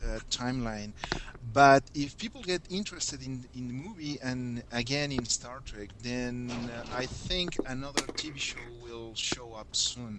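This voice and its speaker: There is noticeable background noise as a man speaks at a fairly slow pace. His pitch sits in the medium range, with ordinary variation. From Mexico City, Mexico. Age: 30s. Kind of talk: casual chat. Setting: Skype conference call.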